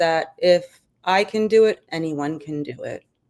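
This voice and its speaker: With a New York accent, a woman speaks with ordinary pitch variation. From New York City, Brooklyn. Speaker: army veteran and business founder. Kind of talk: interview.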